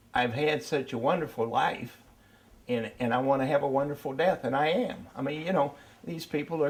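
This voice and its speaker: Amid noticeable background noise, a man speaks at medium pitch with ordinary pitch variation. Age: 80s+. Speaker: interviewee reflecting on life. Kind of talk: personal interview. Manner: halting.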